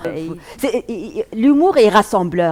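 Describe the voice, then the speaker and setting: In an Arabic accent, a woman speaks at a fairly slow pace. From Tunisia. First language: Arabic (speaking French). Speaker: comedian. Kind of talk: stand-up; interview. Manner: halting, many fillers.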